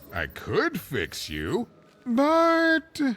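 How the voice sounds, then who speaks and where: Someone speaks in a put-on character voice with a high pitch. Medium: video game. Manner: rambling, chatty, self-deprecating.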